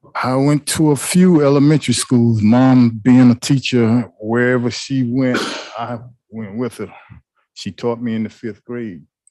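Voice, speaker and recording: Speaking with an American accent, a man uses a medium pitch, a dark, mellow tone and ordinary pitch variation at a fairly slow pace. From US South, Atlanta, Georgia. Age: 60s. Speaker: trial witness. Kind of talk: witness testimony. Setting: courtroom. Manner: brief, plain answers.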